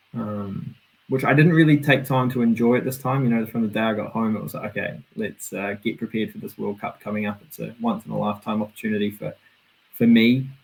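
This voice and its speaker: With a New Zealand accent, a man talks very fast in a medium pitch. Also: ordinary pitch variation. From New Zealand, Auckland. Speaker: BMX racer. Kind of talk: casual interview.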